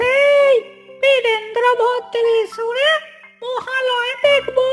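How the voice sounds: A female-sounding, cartoonish character voice speaks at an extremely high pitch and a very slow pace. Music plays in the background.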